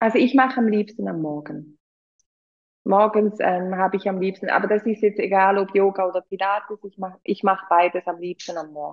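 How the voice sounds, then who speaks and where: Her voice sits at a medium pitch as this woman speaks at a moderate pace. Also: fairly even intonation. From Switzerland. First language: Swiss German (speaking German). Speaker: yoga teacher. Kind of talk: casual chat.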